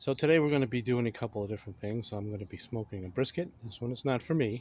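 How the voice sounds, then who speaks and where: The speaker is a man with a medium-pitched voice. He talks very fast. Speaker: BBQ cooking YouTuber. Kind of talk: casual cooking tutorial. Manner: hesitant, many fillers.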